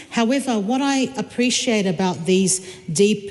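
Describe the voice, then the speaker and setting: Noticeable background noise sits behind the speaker. A woman at medium pitch talks with lively intonation. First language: not English. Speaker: member of parliament. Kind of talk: parliamentary debate. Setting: parliament chamber. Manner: halting, many fillers and repetitions.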